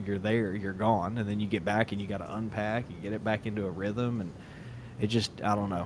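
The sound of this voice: A man talks with fairly even intonation at a pitch that sits fairly low.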